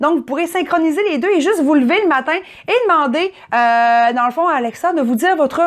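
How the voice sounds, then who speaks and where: A woman speaks at a moderate pace with a strong Saguenay Quebec accent and a high pitch. Her intonation is lively against a quiet background. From Quebec, Saguenay region. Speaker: tech reviewer. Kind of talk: product review. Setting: at home.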